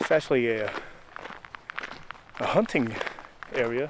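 The speaker is a man. Noticeable background noise accompanies his voice. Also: dry sound with no echo. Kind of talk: casual vlog chat. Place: forest. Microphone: phone near.

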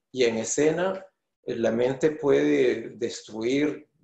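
A man talks at a medium pitch with ordinary pitch variation. The background is quiet, though audible room echo comes through. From Venezuela. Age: 50s. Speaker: choreographer and dancer. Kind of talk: interview answer. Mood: thoughtful, earnest. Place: home room.

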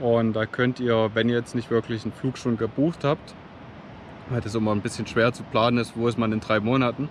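Over light background noise, a man speaks at a moderate pace with a medium pitch and fairly even intonation. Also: dry sound with no echo. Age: 30s. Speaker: travel vlogger. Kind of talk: vlog tutorial. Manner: halting with frequent fillers. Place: beach. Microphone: phone near.

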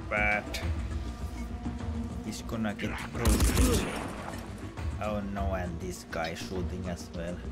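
Loud music plays in the background as a man speaks in a Finnish accent. He goes at a very slow pace with long, frequent pauses. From Finland. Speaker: game streamer. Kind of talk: live game stream commentary. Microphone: headset.

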